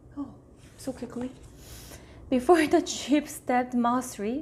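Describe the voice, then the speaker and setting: Speaking fairly slowly with a Korean accent, a woman uses a high pitch and lively intonation. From South Korea. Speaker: YouTuber. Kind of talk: reading aloud. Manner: halting.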